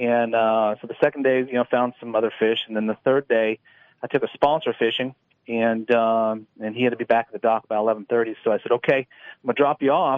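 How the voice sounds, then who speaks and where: In a normal speaking voice, a man with a medium pitch talks at a fairly quick pace with fairly even intonation. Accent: American. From San Diego, California. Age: 50s. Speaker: professional bass angler. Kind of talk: radio interview. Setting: phone call.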